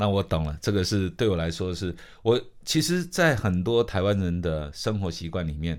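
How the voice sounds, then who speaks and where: With a Taiwanese accent, a man speaks at a very deep, low pitch and a moderate pace, showing ordinary pitch variation. The recording is very clean, with a silent background. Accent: Taiwanese Mandarin. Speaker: radio host. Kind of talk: casual chat.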